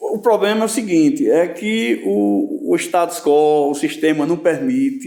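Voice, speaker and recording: A man's voice has a dark, mellow tone. His pitch swings very widely. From Rio Grande do Norte, Northeast Brazil. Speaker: poet and musician. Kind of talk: interview answer. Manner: casual, hesitant.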